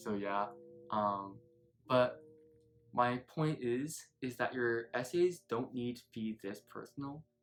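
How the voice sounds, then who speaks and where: Over music in the background, a man with an American accent speaks at a very slow pace, leaving long, frequent pauses. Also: medium pitch for a man, ordinary pitch variation. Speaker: student YouTuber. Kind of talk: casual advice talk.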